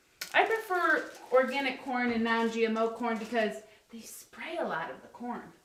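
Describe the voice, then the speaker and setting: In a room with audible echo and noticeable background noise, a woman with high pitch speaks with very wide pitch swings. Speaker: life coach cooking on a livestream. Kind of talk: live cooking demonstration. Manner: loud; casual, chatty.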